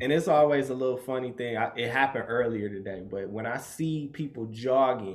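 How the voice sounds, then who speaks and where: In a room with audible echo, a man speaks at a medium pitch with ordinary pitch variation. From Michigan, US (Grand Rapids). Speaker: fashion stylist and designer. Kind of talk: casual interview chat.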